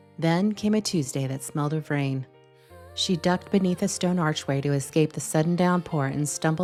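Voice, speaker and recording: Over music in the background, a soft-spoken woman talks at a moderate pace in a very deep, low voice. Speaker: storyteller. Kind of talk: read story narration. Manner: soft, reflective.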